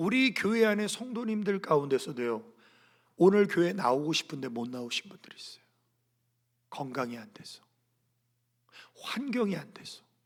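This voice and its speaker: With very wide pitch swings and big swings in loudness, a man talks in a high voice at a moderate pace, leaving long, frequent pauses. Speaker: senior pastor. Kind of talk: sermon. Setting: church service.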